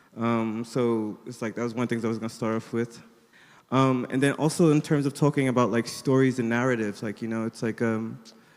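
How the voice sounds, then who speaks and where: With a plain, everyday voice and an American accent, a man talks at a fairly quick pace using fairly even intonation. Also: medium pitch for a man. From United States. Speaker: artist, panelist. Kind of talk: panel discussion.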